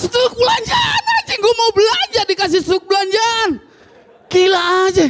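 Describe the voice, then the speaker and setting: A man shouting at a moderate pace, extremely high-pitched, with ordinary pitch variation and crowd noise in the background. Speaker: stand-up comedian and ojol driver. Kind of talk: stand-up comedy. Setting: stage with audience. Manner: complaining, unlucky-underdog persona, mimicking dialogue. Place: stage. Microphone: handheld.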